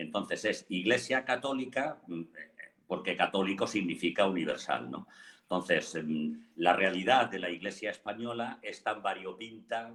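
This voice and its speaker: He speaks with a normal speaking voice, fairly low in pitch. His pace is fairly slow and his intonation lively. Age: 60s. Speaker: parish priest. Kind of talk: debate.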